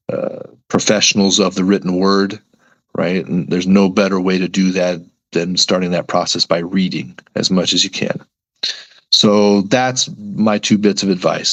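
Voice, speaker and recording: A man with an American accent speaks at a moderate pace in an ordinary speaking voice. His pitch is fairly low. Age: 40s. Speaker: sports reporter. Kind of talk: podcast interview. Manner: casual, conversational with frequent 'right?' tags.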